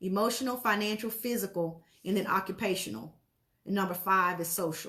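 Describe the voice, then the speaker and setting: At a fairly quick pace, a woman speaks in a bright, sharp tone with a medium pitch and ordinary pitch variation. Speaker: motivational speaker. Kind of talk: live stream talk. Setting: Facebook live video. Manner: fast.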